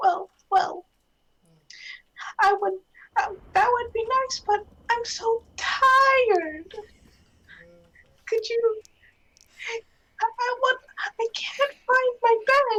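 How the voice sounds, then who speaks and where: In a quiet, extremely high-pitched put-on character voice, the speaker goes very slowly with long, frequent pauses. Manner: hushed, sleepy.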